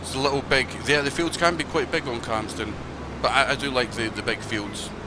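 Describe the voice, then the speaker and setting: Noticeable background noise runs beneath talking that moves at a fairly quick pace. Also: man, fairly high pitch for a man, ordinary pitch variation. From Scotland. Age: 30s. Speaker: gaming streamer. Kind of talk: casual live-stream gameplay chat. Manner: casual, hesitant with fillers.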